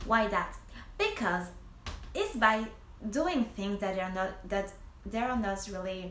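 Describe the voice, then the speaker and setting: A woman with a medium pitch speaks very slowly with fairly even intonation and long, frequent pauses, amid noticeable background noise and audible room echo. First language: French. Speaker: primary school teacher and vlogger. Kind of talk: casual advice vlog. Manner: halting, many false starts.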